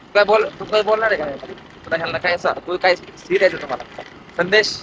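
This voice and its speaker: Over noticeable background noise, a man speaks in a high pitch with ordinary variation. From Maharashtra, India. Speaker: vlogger. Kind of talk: casual vlog chat. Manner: animated.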